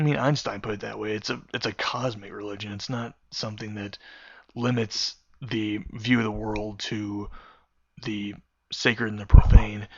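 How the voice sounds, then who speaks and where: Monotone and flat in intonation, a man speaks at a fairly low pitch. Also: big swings in loudness. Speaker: vlogger. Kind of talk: casual monologue. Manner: rushed.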